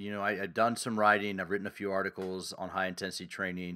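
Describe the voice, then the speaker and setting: Very fast speech in a man's fairly low voice, very clean recording, silent background. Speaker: fitness podcast host. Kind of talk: interview podcast.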